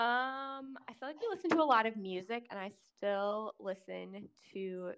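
In an American accent, a woman speaks with an unremarkable speaking voice at medium pitch and lively intonation. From Kansas City, Missouri. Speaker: social worker. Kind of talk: casual chat. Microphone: held too far from mouth.

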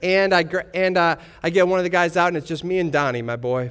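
A man speaks at a fairly high pitch and a fairly quick pace with ordinary pitch variation. His tone is fairly bright, clear and smooth.

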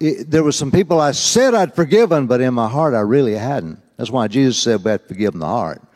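Talking very fast with hardly any pauses, a man with a Southern US accent has a medium pitch. His pitch swings very widely. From US South. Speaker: preacher. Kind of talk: sermon. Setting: church.

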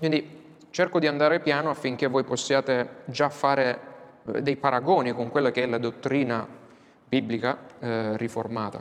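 A man talks with a medium-pitched voice. His intonation stays fairly even. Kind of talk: lecture. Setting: classroom with whiteboard, filmed. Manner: slow.

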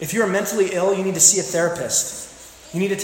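The text is read aloud in a natural voice.

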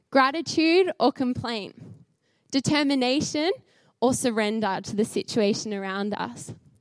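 Her voice is high, with lively intonation. The woman speaks fairly slowly in an Australian accent. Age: 20s. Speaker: charity speaker. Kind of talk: sermon. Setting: church with audience.

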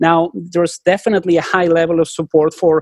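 A man with a non-native accent is heard in a dry, close sound with no echo and a quiet background. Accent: noticeable foreign. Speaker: public opinion researcher. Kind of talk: podcast interview.

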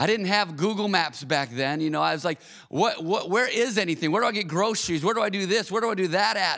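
With a Midwestern American accent, a man speaks at a high pitch and a very fast pace with hardly any pauses, using lively intonation, very even loudness and a bright, sharp tone. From Michigan, Auburn Hills. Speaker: pastor. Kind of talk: sermon.

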